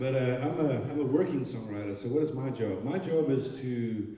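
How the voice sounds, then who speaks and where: A man with a Zimbabwean accent speaks at a moderate pace, his pitch medium with ordinary variation. Room echo is audible and background noise is noticeable. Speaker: songwriter. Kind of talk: stage storytelling. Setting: stage with audience. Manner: halting.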